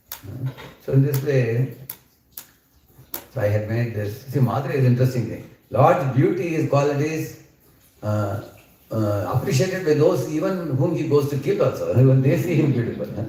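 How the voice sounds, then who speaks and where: In an Indian accent, a man talks at a moderate pace with long, frequent pauses, and audible room echo fills the recording. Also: medium pitch for a man, ordinary pitch variation. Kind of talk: scripture lecture. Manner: loud.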